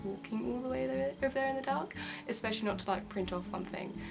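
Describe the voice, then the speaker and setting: A quiet woman's voice amid noticeable background noise and audible room echo. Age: young. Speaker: YouTuber. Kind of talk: casual vlog. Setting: student halls bedroom.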